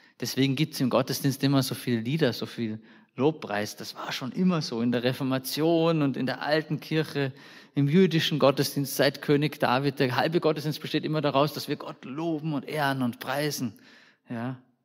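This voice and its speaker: Speaking at a moderate pace, a man uses an ordinary speaking voice, fairly high in pitch, with fairly even intonation. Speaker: preacher. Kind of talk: sermon in a church service. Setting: church. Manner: conversational, warm, informal preaching with colloquial asides; earnest and direct, addressing the congregation personally.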